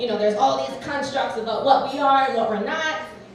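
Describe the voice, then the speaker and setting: Over noticeable background noise and audible room echo, a woman speaks at a fairly high pitch with lively intonation. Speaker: teacher. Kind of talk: personal storytelling at a live event. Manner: animated.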